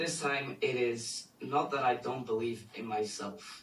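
There is noticeable background noise as a man talks. His pitch is medium and his pace very slow. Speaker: student caller. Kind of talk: Q&A question. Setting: video call.

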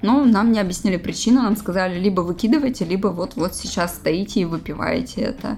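Somewhat breathy, a woman talks with ordinary pitch variation and hardly any pauses. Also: medium pitch for a woman, fairly quick pace. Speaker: host's girlfriend. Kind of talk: casual chat. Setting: bedroom at night, lights off. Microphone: laptop mic placed on a bed.

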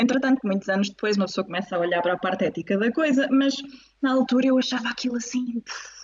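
Talking at a very fast pace, a woman sounds animated, her high pitch varying in an ordinary way. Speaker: pelvic physiotherapist. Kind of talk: casual interview. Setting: video call live stream.

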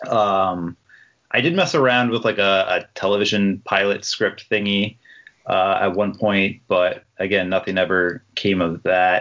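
A man with an American accent uses a normal speaking voice at a fairly low pitch. His pace is fairly slow, with fairly even intonation and very even loudness. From New Jersey, Jersey Shore. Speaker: horror author. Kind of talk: casual interview chat.

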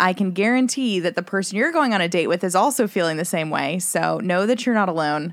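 Her voice is a normal speaking voice, at medium pitch with ordinary pitch variation. The woman keeps a fairly quick pace and very even loudness. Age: 30s. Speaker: dating app user. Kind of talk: casual chat.

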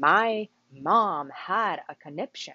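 A woman speaks in an animated tone. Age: 20s. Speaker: podcast host. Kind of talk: motivational monologue.

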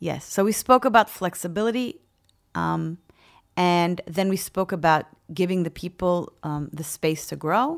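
In a very clean recording with a silent background, a woman speaks in a normal speaking voice at a fairly low pitch and fairly slow pace, with ordinary pitch variation. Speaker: VP of people at a tech company. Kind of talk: interview.

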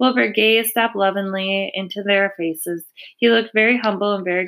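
Reading in a natural voice

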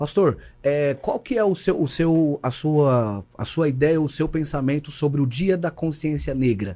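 A man with a dark, mellow tone speaks at a fairly high pitch and lively intonation. His pace is fairly slow with hardly any pauses, in a very clean recording with a silent background. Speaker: pastor, podcast co-host. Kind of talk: casual chat.

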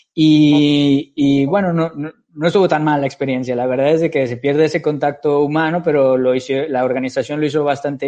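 The man's voice sits at a fairly high pitch and has a dark, mellow tone. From Mexico, Guadalajara. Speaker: engineer and entrepreneur. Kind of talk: interview.

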